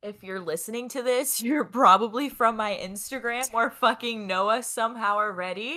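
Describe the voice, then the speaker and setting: The woman's fairly high voice has a bright, sharp tone. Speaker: podcast co-host, photographer. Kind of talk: casual chat.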